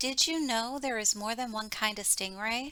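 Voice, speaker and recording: A put-on character voice is used here. Its pace is moderate. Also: woman, fairly high pitch for a woman. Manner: loud, eager.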